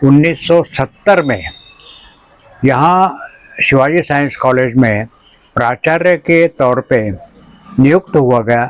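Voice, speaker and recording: Noticeable background noise sits under the recording. The man speaking has a medium pitch. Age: 80s+. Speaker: retired college principal and gardener. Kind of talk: interview.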